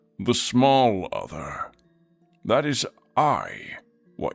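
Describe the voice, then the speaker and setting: Faint music plays in the background. The speaker uses a put-on character voice at a very slow pace. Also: man. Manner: eerie, enigmatic.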